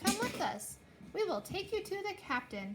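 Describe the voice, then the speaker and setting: Over clear background noise, a female-sounding put-on character voice runs high in pitch with very wide pitch swings at a moderate pace. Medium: read story. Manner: bossy.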